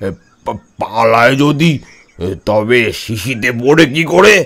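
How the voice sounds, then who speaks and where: A man puts on a character voice at a medium pitch, with very wide pitch swings. He talks at a fairly slow pace. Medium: audio drama. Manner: hesitant, stammering.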